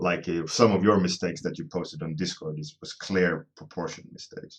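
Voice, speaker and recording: Very deep and low, a man's voice shows ordinary pitch variation. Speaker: concept artist live streamer. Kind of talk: live stream drawing tutorial, chatting with viewers. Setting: live online stream. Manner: casual, with fillers.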